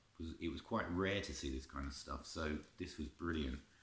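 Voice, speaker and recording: Over noticeable background noise, a man talks at a moderate pace with vocal fry. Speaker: collector reviewing music tapes. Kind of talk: casual vlog chat. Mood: nostalgic, enthusiastic. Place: home room.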